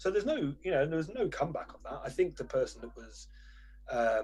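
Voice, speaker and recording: A man with a British accent at a very fast pace. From Britain. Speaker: journalist, newspaper editor. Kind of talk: interview conversation.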